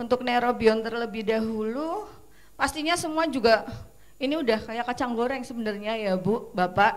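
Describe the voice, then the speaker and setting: The woman's voice sits high in pitch, with ordinary pitch variation. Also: moderate pace. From Central Java, Purwokerto. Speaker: pharmaceutical product presenter. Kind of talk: product presentation at seminar. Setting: seminar with audience.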